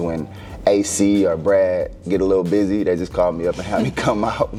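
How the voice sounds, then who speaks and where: With music in the background, a man in a Houston accent talks at a fairly quick pace in a very deep, low pitch. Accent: Houston Texas. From Texas, Houston. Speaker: former basketball player. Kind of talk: interview. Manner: laid back.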